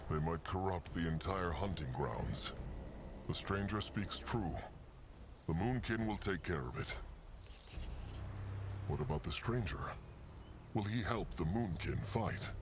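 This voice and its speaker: A gruff, put-on character voice comes at a fairly slow pace with long, frequent pauses and very even loudness. Noticeable background noise sits behind it. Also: man, very deep, low pitch for a man. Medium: video game. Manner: speaks of himself in the third person, gruff and formal.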